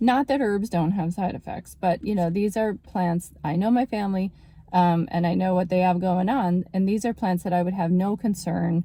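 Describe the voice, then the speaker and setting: Here is a woman with an unremarkable speaking voice at medium pitch. She speaks at a moderate pace with ordinary pitch variation. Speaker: naturopathic doctor. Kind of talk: casual health talk video.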